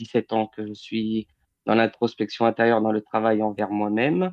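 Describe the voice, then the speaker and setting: At a moderate pace, a man speaks with a medium-pitched voice. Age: 30s. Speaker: medium and healer. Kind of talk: interview. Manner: hesitant, many fillers.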